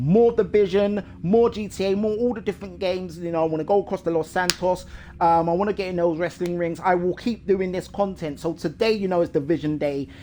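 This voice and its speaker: The speaker talks at a fairly quick pace with hardly any pauses. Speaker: gaming YouTuber. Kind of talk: casual gaming commentary. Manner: loud and fast. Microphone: echo.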